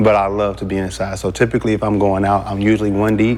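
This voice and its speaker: A man speaks very fast in a fairly low voice, with ordinary pitch variation. Noticeable background noise runs under him. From Texas, Houston. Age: 30s. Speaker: dating show contestant. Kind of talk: casual chat.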